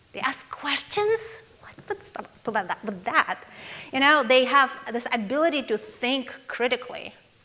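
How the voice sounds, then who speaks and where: A woman with a Russian accent speaks in a raised, projected voice. Her pitch is high and swings very widely. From Russia, Moscow. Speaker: foundation executive director. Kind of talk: conference talk.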